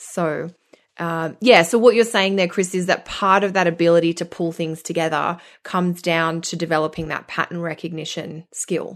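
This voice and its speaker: A woman with an Australian accent talks at a moderate pace and fairly low pitch, keeping her intonation fairly even. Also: quiet background. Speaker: astrologer. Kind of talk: casual chat.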